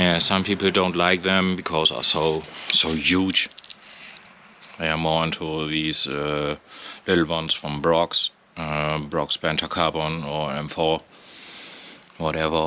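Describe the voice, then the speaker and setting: A man with a non-native accent speaks fairly slowly in a very deep, low pitch, using flat, monotone intonation and long, frequent pauses. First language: not English. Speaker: motorcycle owner. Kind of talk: casual walkaround commentary. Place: street. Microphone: phone near.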